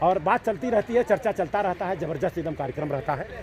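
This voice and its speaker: This man's voice is high-pitched, and his tone is animated. His intonation is lively. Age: 60s. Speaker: YouTube channel host. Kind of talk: casual chat. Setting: outdoors at a sports ground with senior citizens.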